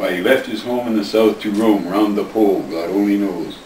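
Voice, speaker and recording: A man speaks over noticeable background noise. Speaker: grandfather reading to family. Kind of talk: poetry reading. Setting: home recording, family at Christmas. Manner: expressive, dramatic.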